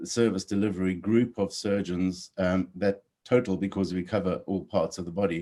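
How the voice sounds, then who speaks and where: A man with a South African accent, fairly low in pitch, with a dark, mellow tone, ordinary pitch variation and a fairly quick pace, on a very clean recording with a silent background. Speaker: orthopedic surgeon. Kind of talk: interview.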